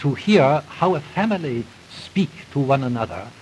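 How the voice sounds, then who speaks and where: Over light background noise, a man with a fairly high pitch speaks in a somewhat breathy voice with lively intonation. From Ireland. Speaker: playwright. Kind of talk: spoken essay lecture recording. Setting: old gramophone recording. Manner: careful, clear. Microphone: old recording.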